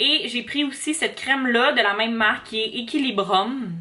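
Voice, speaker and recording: With a Quebec accent, a woman talks at a fairly slow pace and fairly high pitch, her intonation lively over noticeable background noise. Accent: Québécois French. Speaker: vlogger, university student. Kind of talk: casual vlog talk to camera. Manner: hesitant, many fillers.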